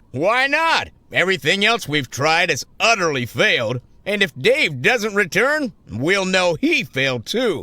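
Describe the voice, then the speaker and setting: In a cartoonish character voice, a man speaks high-pitched and fairly slowly, with very wide pitch swings, on a very clean recording with a silent background. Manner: formal, measured.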